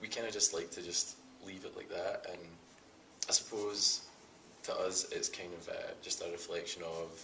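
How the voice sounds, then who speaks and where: Amid noticeable background noise, a man with a Scottish accent talks at a moderate pace, taking long, frequent pauses, with big swings in loudness. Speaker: rock band singer. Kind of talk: casual interview. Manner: casual, hesitant with fillers.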